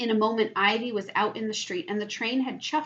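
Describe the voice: Plain reading aloud runs with fairly even intonation.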